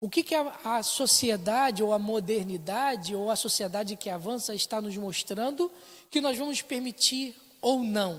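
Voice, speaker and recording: In a very clean recording with a silent background, a woman with a fairly high pitch and lively intonation speaks at a fairly slow pace. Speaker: Sunday school teacher. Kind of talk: Bible class lecture. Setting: church, filmed for internet stream.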